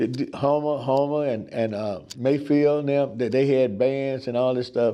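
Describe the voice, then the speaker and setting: A man with a dark, mellow tone speaks at a medium pitch. His intonation is monotone and flat. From southern Illinois (Cairo). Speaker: oral history interviewee. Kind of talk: oral history interview. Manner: halting, many fillers and repetitions.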